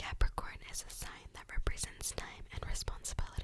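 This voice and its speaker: A woman whispers over noticeable background noise. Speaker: ASMR creator. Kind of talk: ASMR whisper talk about zodiac signs. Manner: whispered, soft.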